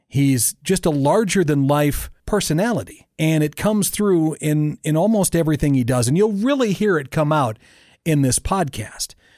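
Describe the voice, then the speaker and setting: A man with an unremarkable speaking voice talks at a fairly high pitch and very even loudness. The recording is very clean, with a silent background. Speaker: podcast host. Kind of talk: casual interview chat. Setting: studio.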